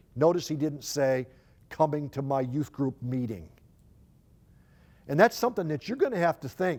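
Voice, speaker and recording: This man has a fairly high voice and lively intonation. He talks at a moderate pace, with long, frequent pauses. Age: 60s. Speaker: youth ministry speaker. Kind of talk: conference talk. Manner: halting, with repeated words.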